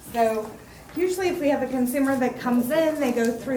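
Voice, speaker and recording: Over noticeable background noise and audible room echo, a woman talks at a fairly quick pace in a high pitch with ordinary pitch variation. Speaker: mental health care manager presenting to county board. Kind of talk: informational presentation at public meeting. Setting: county commissioners meeting room.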